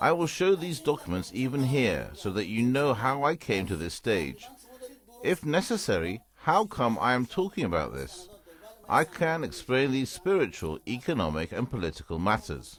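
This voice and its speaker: A man with a medium pitch speaks with very wide pitch swings. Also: moderate pace. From Iran. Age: 50s. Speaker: businessman. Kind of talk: TV interview.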